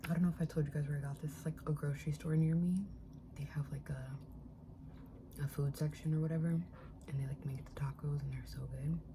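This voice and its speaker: A soft-spoken voice moves at a fairly quick pace over noticeable background noise. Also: woman. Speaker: spiritual content creator. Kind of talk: casual ASMR eating chat to camera.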